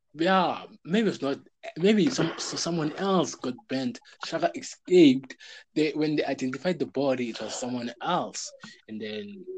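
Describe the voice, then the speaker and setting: A man with an unremarkable speaking voice talks at a moderate pace and a fairly high pitch, with lively intonation. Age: young. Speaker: podcast host. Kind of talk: casual chat.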